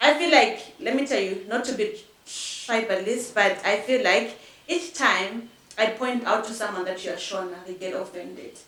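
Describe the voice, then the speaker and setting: A woman with a Zimbabwean accent speaks at a fairly high pitch, her intonation lively. The recording has audible room echo and noticeable background noise. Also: moderate pace. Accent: Zimbabwean Ndebele English. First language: Ndebele. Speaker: podcast guest. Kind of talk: casual chat.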